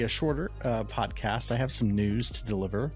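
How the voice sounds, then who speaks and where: Music can be heard behind the speech. The man delivers it at a moderate pace. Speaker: podcast host. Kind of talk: podcast intro, casual talk.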